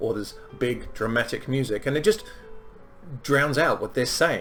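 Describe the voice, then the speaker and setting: Music can be heard behind the voice. The talking goes at a fairly quick pace. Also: man. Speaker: film reviewer. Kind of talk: casual film review talk. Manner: hesitant, many filler ums.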